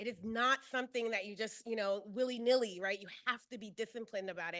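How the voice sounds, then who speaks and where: A woman's bright, sharp voice at a very fast pace, with a dry, close sound and no echo. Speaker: keynote speaker, early childhood education scholar. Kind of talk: keynote lecture. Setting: stage with audience, also streamed on Zoom.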